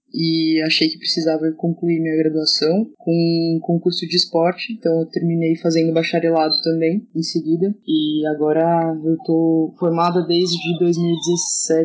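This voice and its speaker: Here a woman has a fairly low pitch and a moderate pace. Her intonation stays monotone and flat. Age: 20s. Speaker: handball coach. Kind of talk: casual podcast interview.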